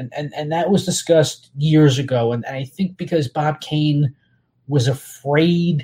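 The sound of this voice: This man has an American accent and a fairly high, dark, mellow voice with a slightly husky edge. He talks at a fairly slow pace. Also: ordinary pitch variation.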